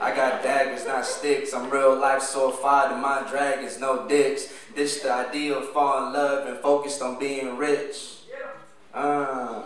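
A man's fairly high voice with audible room echo and light background noise. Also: fairly slow pace. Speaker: spoken word poet. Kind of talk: spoken word poetry performance. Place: stage.

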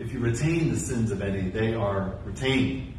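Moderately paced speech from a man, with audible room echo and light background noise. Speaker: pastor. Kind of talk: scripture reading. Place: church.

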